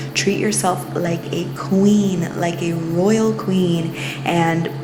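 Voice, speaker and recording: With music in the background, a woman speaks very slowly at a fairly low pitch with fairly even intonation. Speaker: spirituality and mindfulness channel host. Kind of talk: casual talk to camera.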